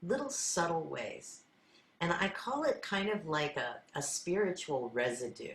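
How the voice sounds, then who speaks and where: A woman talks at a fairly slow pace. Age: 60s. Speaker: sound healer. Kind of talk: spiritual talk.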